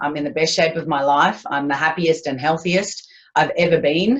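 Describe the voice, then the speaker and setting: A woman with an Australian accent, very deep and low in pitch, ordinary pitch variation, moderate pace. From Australia, Queensland. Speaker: business owner. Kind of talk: interview.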